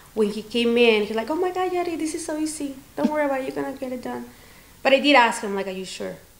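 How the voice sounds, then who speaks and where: Lively intonation rides a very fast pace. Noticeable background noise sits behind the speech. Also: woman, high pitch for a woman. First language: not English. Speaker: salon owner, beauty professional. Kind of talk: interview. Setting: on location at her studio.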